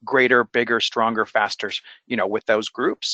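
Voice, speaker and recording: A man talks at a fairly quick pace. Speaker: nonprofit engagement consultant. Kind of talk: webinar presentation. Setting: online webinar. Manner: fast; animated.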